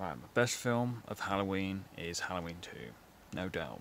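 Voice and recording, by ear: A man's low-pitched voice with vocal fry, a fairly bright tone, big pitch swings and a moderate pace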